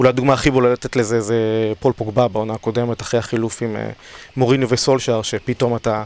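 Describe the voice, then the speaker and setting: Talking at a fairly quick pace, a man with a medium pitch keeps a monotone, flat intonation in a very clean recording with a silent background. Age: 30s. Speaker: fantasy league champion. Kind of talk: casual chat. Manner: hesitant with fillers.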